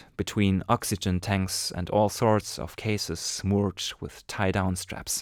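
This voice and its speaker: A man talks at a fairly slow pace with a strong German accent. The recording is very clean and dry, close-miked with no echo and a silent background. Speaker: amateur storyteller. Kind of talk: reading aloud a short story.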